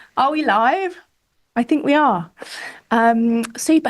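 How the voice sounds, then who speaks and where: A woman with a British accent and a high pitch speaks at a fairly slow pace, her pitch varying in an ordinary way. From Britain. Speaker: webinar host. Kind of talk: live webinar chat. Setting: studio. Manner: animated.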